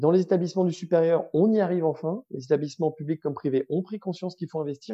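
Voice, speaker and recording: This man talks at a very fast pace, with ordinary pitch variation. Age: 30s. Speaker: startup co-founder. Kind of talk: interview. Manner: hesitant, many repetitions.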